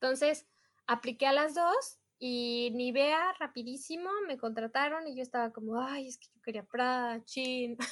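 A woman speaks with a Mexican accent at a high pitch. Her pace is fairly slow. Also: ordinary pitch variation, big swings in loudness. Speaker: multilingual executive assistant. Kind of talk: casual chat.

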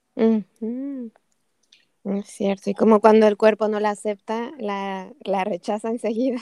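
Pitched fairly high, a woman speaks with a dark, mellow tone and fairly even intonation. She talks at a fairly slow pace, with a dry, close sound and no echo. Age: 40s. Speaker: podcast host. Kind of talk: interview.

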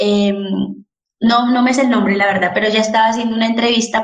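Audible room echo carries a woman's fairly high, somewhat breathy voice at a fairly quick pace. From Colombia, Popayán (Cauca). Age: 20s. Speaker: architect. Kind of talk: interview about current protests.

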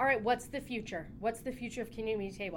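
With an American accent, a woman speaks at a fairly high pitch with ordinary pitch variation. Music plays in the background. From Colorado. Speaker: podcast host. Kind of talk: casual chat.

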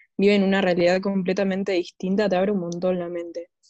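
A woman speaks with a Rioplatense accent at a medium pitch. Her tone is dark and mellow. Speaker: podcast host. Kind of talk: casual podcast monologue. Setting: home living room at night.

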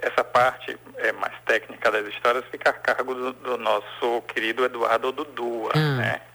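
A man talks fairly slowly, with noticeable noise in the background. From Bahia, Brazil (Salvador). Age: 40s. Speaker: cultural producer. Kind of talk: interview. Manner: halting.

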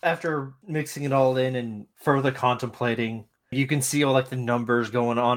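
A man speaks in a normal speaking voice at medium pitch. His intonation stays fairly even, and his pace is moderate. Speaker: tabletop game player. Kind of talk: casual tabletop game chat.

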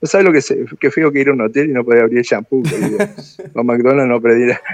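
The man talks at a very fast pace. His pitch sits fairly high. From Argentina, Buenos Aires. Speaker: karate master. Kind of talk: interview.

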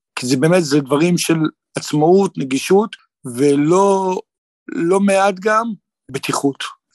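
The recording is dry and close with no echo as a man speaks at a fairly slow pace with ordinary pitch variation. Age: 50s. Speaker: psychotherapist. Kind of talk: interview.

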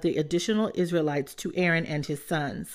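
At a fairly quick pace, a woman with an unremarkable speaking voice talks at a fairly low pitch on a very clean recording with a silent background. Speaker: Bible reader podcast host. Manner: steady, reverent, even-paced; warm, encouraging.

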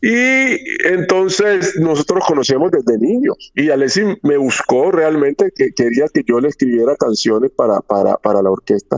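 A man talks at a moderate pace with a fairly high pitch. His loudness stays very even while his pitch swings very widely. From Colombia, Chocó (Quibdó). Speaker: salsa composer and bandleader. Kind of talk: interview.

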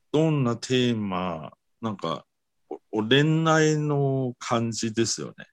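Speaking at a very slow pace with a Mandarin Chinese accent, a man at medium pitch uses lively intonation and big swings in loudness. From Taiwan. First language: Mandarin Chinese (speaking Japanese). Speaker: guest from abroad. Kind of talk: casual interview chat. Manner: halting, many fillers.

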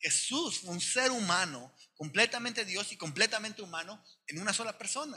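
A man's raised, projected voice comes through high in pitch and bright and sharp in tone, with lively intonation at a moderate pace. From Sonora, northern Mexico. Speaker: pastor. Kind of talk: sermon.

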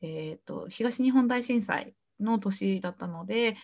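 In a very clean recording with a silent background, a woman with a medium pitch speaks in a somewhat breathy voice with lively intonation. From Japan, Shimane. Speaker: entrepreneur. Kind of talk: interview.

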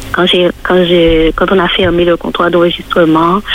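Over noticeable background noise, a woman talks in a fairly low pitch. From Martinique. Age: 40s. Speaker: church member. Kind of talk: testimony.

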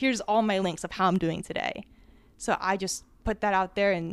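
An ordinary speaking voice, a woman with an American accent talks at a fairly quick pace with medium pitch and fairly even intonation. The recording is very clean, with a silent background. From New Jersey, US. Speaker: public speaking teacher on social media. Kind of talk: live panel talk with personal storytelling. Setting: stage with live audience.

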